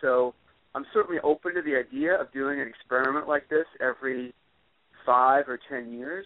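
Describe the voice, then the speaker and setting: A man's medium-pitched, fairly even delivery comes in a normal speaking voice. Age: 40s. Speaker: author and public speaker. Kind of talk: podcast interview.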